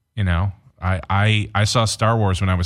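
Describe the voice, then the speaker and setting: With an American accent, a man speaks in a very deep, low pitch and fairly even intonation on a very clean recording with a silent background. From Detroit area, Michigan. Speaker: film director and producer. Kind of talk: casual chat.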